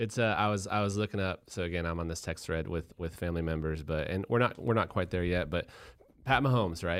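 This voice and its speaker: In a very clean recording with a silent background, a man with an American accent speaks very fast in a very deep, low voice. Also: ordinary pitch variation. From Colorado. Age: 30s. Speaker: entrepreneur. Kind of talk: casual chat. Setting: studio.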